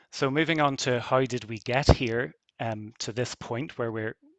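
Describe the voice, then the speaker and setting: The speaker has a Belfast accent. The intonation stays fairly even. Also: man, dry, close sound with no echo, quiet background. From Northern Ireland, Belfast. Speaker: university researcher. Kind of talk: conference closing talk. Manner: hesitant, many fillers.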